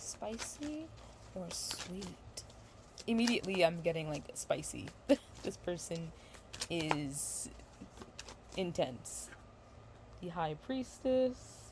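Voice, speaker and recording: A woman at a very slow pace, with long, frequent pauses, big swings in loudness and noticeable background noise. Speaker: tarot reader. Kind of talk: tarot reading livestream. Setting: livestream. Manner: halting, self-correcting.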